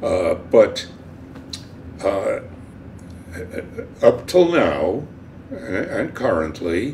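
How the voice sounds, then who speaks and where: With audible room echo and noticeable background noise around him, a man speaks. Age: 80s+. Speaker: cartoonist. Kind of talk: interview. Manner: halting.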